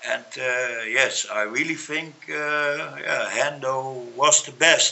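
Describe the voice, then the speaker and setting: Amid noticeable background noise, a man speaks at a very slow pace in a fairly high pitch with fairly even intonation. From Netherlands. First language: Dutch. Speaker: MMA pundit. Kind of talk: casual discussion. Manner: halting.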